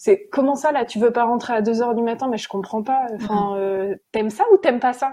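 The woman's voice has a dark, mellow tone and ordinary pitch variation. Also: fairly quick pace, hardly any pauses. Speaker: production administrator and stage manager. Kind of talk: interview. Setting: remote recording.

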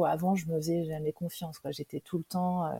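A woman's somewhat breathy voice with a dark, mellow tone, in a dry, close sound with no echo. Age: 40s. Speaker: digital marketing trainer and coach. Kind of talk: interview testimony. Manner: halting.

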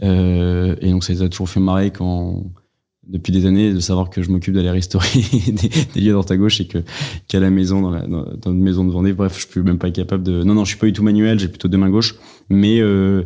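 A man with a very deep, low pitch speaks at a fairly quick pace in a monotone, flat manner. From France. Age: 20s. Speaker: association president. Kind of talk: interview.

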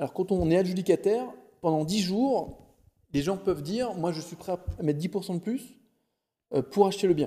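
A man's high-pitched voice at a moderate pace, with ordinary pitch variation and long, frequent pauses. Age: 40s. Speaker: real estate investor. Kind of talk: interview. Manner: animated.

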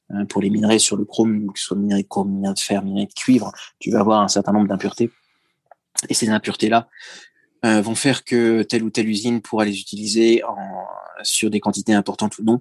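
Very fast male speech, fairly low in pitch and monotone, flat in intonation, with long, frequent pauses and a dry, close sound with no echo. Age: 40s. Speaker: retail executive. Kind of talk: interview. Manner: hesitant, with many filler words.

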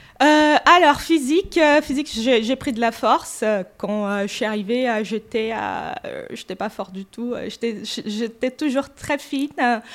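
Speaking at a very slow pace, a woman uses lively intonation and a high pitch. She has a Portuguese accent. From Brazil. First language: Portuguese (speaking French). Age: 40s. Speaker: gym member, receptionist. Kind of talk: casual interview.

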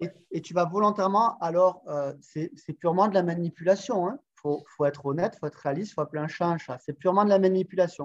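A man with a high voice talks at a very fast pace with hardly any pauses and ordinary pitch variation, in a dry, close sound with no echo. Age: 40s. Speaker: sales coach. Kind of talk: interview. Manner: animated.

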